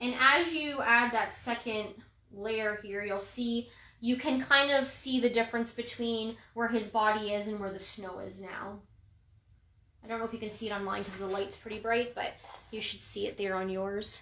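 In a Canadian accent, a woman with a bright, sharp tone and fairly high pitch talks at a moderate pace with fairly even intonation, big swings in loudness and audible room echo. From Ontario, Canada. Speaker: painting instructor. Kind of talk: tutorial. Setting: livestream. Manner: casual, chatty. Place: home room. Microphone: phone near.

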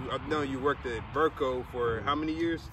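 The recording is dry with no echo but has noticeable background noise, and the man speaking has a fairly high pitch. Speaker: interviewer, grandson. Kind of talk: interview questions. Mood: warm, respectful. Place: open country.

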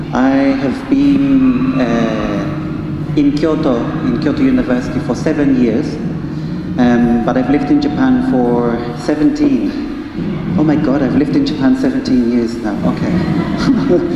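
Noticeable background noise and audible room echo surround the voice. The man talks very slowly. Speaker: presenter. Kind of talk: lecture. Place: hall. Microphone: handheld.

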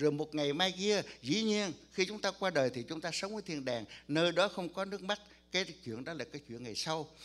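A man's high voice at a moderate pace with lively intonation. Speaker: pastor. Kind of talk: sermon. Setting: church. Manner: soft-spoken. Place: church.

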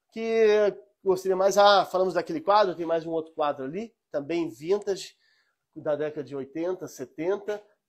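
Over a quiet background, the speaker goes at a fairly slow pace with ordinary pitch variation. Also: man. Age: 40s. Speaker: antique shop seller. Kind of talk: live sales stream. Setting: antique shop, live stream. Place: shop.

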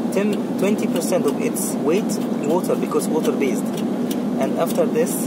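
Speech at a moderate pace is heard against loud background noise. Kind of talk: on-site technical explanation.

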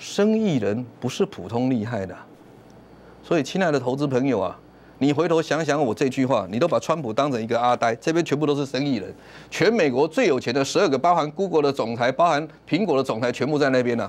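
With lively intonation, the man moves along at a fairly quick pace. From Taiwan. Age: 50s. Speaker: stock market commentator. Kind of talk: sales pitch. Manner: animated. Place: studio. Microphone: lapel.

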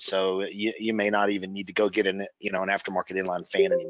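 Fairly quick pace against a quiet background. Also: man, dry sound with no echo. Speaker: presenter. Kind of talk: webinar presentation. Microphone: video call.

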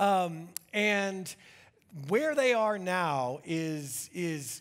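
With quiet surroundings, a man is talking. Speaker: pastor. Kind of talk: sermon. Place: church.

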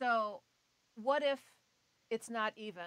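A woman talks at a very slow pace against a quiet background. The sound is dry with no echo. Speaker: radio host. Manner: animated. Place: studio.

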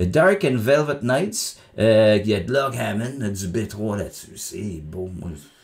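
Speaking at a very slow pace in a Quebec accent, a man with a fairly low pitch uses lively intonation. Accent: Québécois French. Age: 50s. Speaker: music critic YouTuber; music reviewer. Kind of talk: album review monologue; casual review commentary. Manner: casual, hesitant with many fillers. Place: home room.

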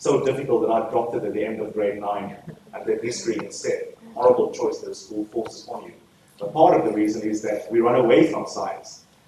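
At a fairly quick pace, a man talks with big swings in loudness, audible room echo and light background noise. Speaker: guest lecturer. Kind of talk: lecture. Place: hall.

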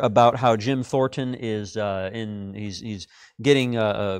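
Against a quiet background, a man speaks fairly slowly with ordinary pitch variation. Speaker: class teacher. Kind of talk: announcements before a Bible class lesson. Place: classroom.

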